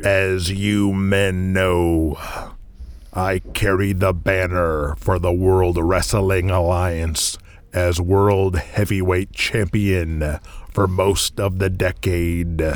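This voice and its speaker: A man uses a put-on character voice, very deep and low, speaking very slowly in a monotone, flat intonation at very even loudness. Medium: audio drama. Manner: blunt, commanding.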